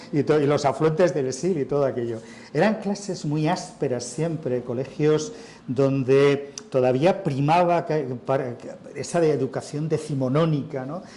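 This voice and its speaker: A man's fairly high-pitched voice at a fairly slow pace, with ordinary pitch variation and noticeable background noise. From Spain, Madrid. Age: 60s. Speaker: writer and journalist. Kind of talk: interview at a literary festival. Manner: conversational, with false starts and fillers.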